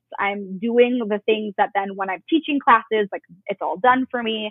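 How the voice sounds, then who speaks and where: Her pitch fairly high and its variation ordinary, a woman speaks at a moderate pace. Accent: American. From Chicago suburbs, Illinois. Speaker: yoga instructor and business founder. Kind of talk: casual interview.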